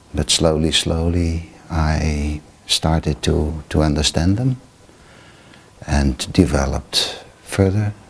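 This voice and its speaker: Over noticeable background noise, a man with a very deep, low pitch speaks at a very slow pace. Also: ordinary pitch variation. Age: 70s. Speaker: Buddhist meditation teacher. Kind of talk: interview. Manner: halting.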